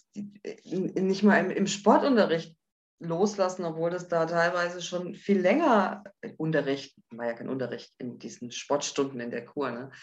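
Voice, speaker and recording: This is a normal speaking voice. It moves at a fairly slow pace. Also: woman. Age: 50s. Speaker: widow sharing personal story. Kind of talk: interview testimony.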